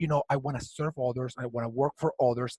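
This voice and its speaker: Speaking at a very fast pace with a Venezuelan accent, a man sounds somewhat breathy, recorded with a dry, close sound with no echo. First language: Spanish. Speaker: HR community founder. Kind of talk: interview. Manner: halting.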